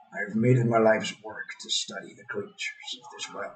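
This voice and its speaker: Using a put-on character voice, a man talks at a fairly quick pace. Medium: read story. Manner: scheming, commanding.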